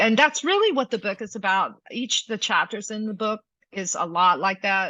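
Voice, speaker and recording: Speaking with a strong Southern US accent, a woman talks at a fairly slow pace with ordinary pitch variation. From US South, Georgia near Alabama line. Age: 50s. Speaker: singer and public speaking coach. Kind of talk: interview conversation.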